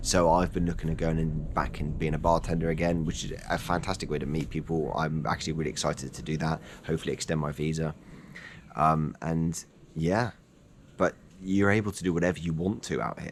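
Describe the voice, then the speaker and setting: With an English accent, a man talks fairly quickly in a very deep, low voice with vocal fry and fairly even intonation. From England. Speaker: personal trainer and fitness vlogger. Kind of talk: casual vlog monologue. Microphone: no wind muffler on mic.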